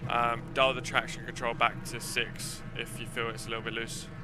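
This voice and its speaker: Music plays in the background. Over it, a man speaks in a monotone, flat intonation. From southern England, Essex. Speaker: sim racing streamer. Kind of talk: casual live stream chat.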